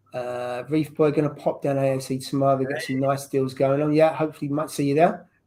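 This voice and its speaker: Very fast speech in an English accent. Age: 30s. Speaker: livestream host. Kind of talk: casual chat.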